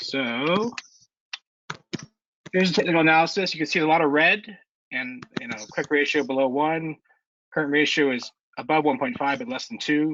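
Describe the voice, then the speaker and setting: A man speaks at a fairly high pitch with lively intonation. He leaves long, frequent pauses. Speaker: investment club presenter. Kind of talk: online club meeting presentation. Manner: fast; casual, hesitant with fillers.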